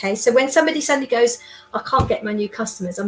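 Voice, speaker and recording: The speaker's pitch varies in an ordinary way, heard through noticeable background noise. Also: woman. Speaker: sales trainer and business development consultant. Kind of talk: interview. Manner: loud; animated.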